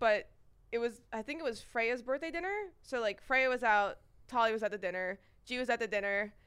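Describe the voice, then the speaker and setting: Ordinary pitch variation and a fairly quick pace mark this speaker with an American accent. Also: woman, fairly high pitch for a woman. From New York. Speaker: content creator. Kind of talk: casual chat.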